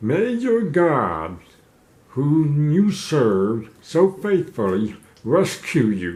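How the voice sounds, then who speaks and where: A man uses a put-on character voice at a fairly high pitch with very wide pitch swings. He speaks at a very slow pace. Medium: solo performance.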